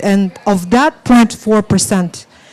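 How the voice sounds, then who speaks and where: Against noticeable background noise, a woman of medium pitch speaks at a very slow pace. Her pitch variation is ordinary. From Siberia, Russia. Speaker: panelist. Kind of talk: panel discussion.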